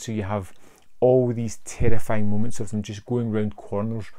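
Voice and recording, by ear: Vocal fry marks this man's fairly low pitch. There is little pitch movement in his voice. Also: slightly mellow tone.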